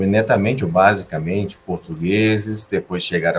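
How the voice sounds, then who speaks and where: The voice belongs to a man with a very deep, low pitch. He keeps a moderate pace and fairly even intonation. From Brazil, Recife (Northeast), gaúcho father, Sergipe mother. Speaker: engineer. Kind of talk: podcast interview.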